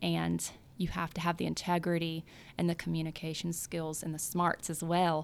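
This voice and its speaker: A woman speaks with a Southern US accent at a fairly low pitch. Her intonation is monotone and flat. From US South, South Louisiana. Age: 30s. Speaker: real estate agent. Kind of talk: interview. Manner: casual, laughs often.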